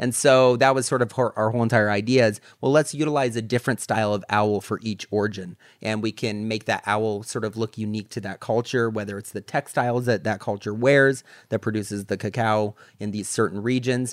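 The man has a plain, everyday voice, fairly low in pitch and fairly even in intonation, moving at a fairly quick pace. His recording is very clean with a silent background and a dry, close sound with no echo. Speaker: chocolatier and shop founder. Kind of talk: casual interview.

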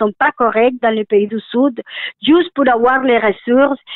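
Her voice is high for a woman. The woman keeps her intonation fairly even. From Colombia. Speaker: association director. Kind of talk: interview.

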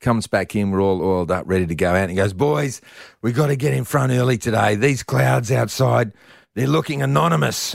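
Pitched fairly low, a man with an Australian accent talks at a fairly quick pace. His pitch swings very widely while his loudness stays very even. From Perth, Western Australia. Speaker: sports presenter and former footballer. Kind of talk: casual chat.

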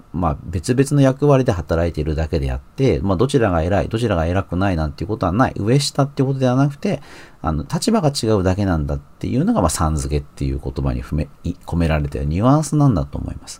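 A man talks at a very fast pace with vocal fry and very wide pitch swings. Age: 40s. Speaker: magazine editor and podcast host. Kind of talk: solo commentary podcast.

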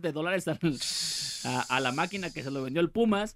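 A man's high-pitched voice at a very fast pace with ordinary pitch variation. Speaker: radio show co-host. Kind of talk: casual chat.

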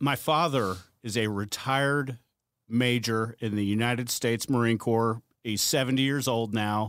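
A man's normal speaking voice at medium pitch, fairly even intonation and a moderate pace, on a very clean recording with a silent background. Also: very even loudness. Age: 40s. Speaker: podcast host, retired politician. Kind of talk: casual interview chat.

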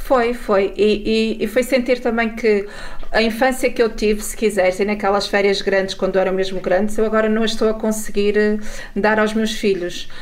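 A woman talks with fairly even intonation. There is audible room echo. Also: fairly high pitch for a woman, moderate pace. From northern Portugal, Mesão Frio. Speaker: journalist. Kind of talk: radio interview.

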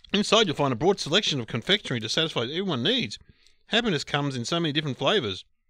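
A man with an Australian accent races along at a very fast pace in a bright, sharp tone with vocal fry. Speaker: podcast co-host. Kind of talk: casual banter.

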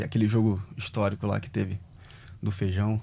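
Over a very clean recording with a silent background, a man speaks at a moderate pace. His voice is fairly low, somewhat breathy, with a dark, mellow tone. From Brazil, Rio de Janeiro (Rocinha). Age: 30s. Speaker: former professional tennis player. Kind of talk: casual interview chat.

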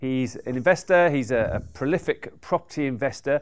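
A man with a British accent speaks at a moderate pace and fairly high pitch with ordinary pitch variation, on a very clean recording with a silent background. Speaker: podcast host and property investor. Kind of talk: stage introduction. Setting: stage with audience.

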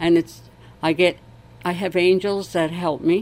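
This woman's pitch sits fairly low. She speaks at a very slow pace in a monotone, flat intonation. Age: 70s. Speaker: charity crocheter. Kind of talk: interview.

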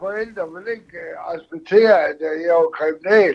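A man with a high-pitched voice speaks at a very slow pace. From Denmark, Aalborg. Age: 60s. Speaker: caller. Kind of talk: phone-in conversation.

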